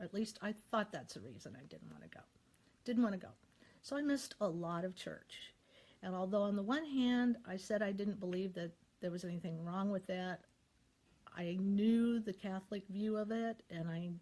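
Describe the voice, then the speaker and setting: A woman with an American accent and a medium pitch talks at a moderate pace in a somewhat breathy voice with a dark, mellow tone, ordinary pitch variation and big swings in loudness. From US Midwest. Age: 60s. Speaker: YouTuber sharing faith. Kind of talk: personal testimony. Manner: halting.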